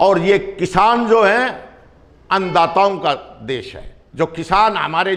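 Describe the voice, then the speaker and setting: His intonation is lively. This male speaker has a high-pitched voice. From Punjab. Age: 60s. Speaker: local politician. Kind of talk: interview.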